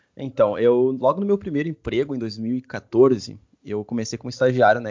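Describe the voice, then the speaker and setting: In a normal speaking voice, a man talks at a medium pitch and moderate pace with ordinary pitch variation. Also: big swings in loudness. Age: 20s. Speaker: DevOps engineer and tech content creator. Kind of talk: casual interview.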